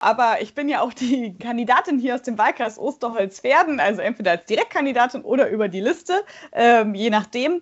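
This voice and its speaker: Her pitch is high, and her intonation is lively. The woman talks at a fairly quick pace. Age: 20s. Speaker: parliamentary candidate and law doctoral student. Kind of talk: interview.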